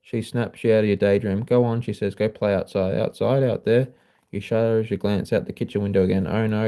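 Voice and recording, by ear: The intonation holds fairly even. The text is read aloud in a natural voice.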